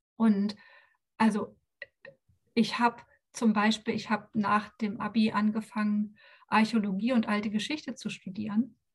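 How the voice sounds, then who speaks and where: A woman talks at a moderate pace with long, frequent pauses, her fairly high voice somewhat breathy. Her intonation stays monotone and flat. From former East Germany. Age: 40s. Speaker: life coach. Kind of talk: podcast interview.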